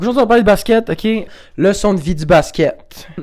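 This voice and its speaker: The speaker has an animated tone and a Quebec accent. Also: man. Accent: Québécois French. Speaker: YouTuber. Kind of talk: casual vlog monologue.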